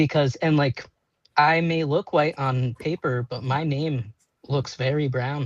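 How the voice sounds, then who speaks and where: Dry and close with no echo, a man's somewhat breathy, fairly high voice moves at a fairly slow pace. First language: Portuguese. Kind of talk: panel discussion. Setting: live video stream. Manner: animated.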